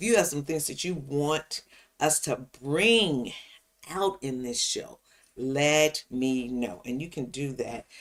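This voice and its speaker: Speaking at a fairly slow pace, a woman has a very deep, low pitch and lively intonation. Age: 70s. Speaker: senior lifestyle livestream host. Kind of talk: casual livestream chat. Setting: home livestream on YouTube and Facebook. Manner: repetitive, hesitant with fillers.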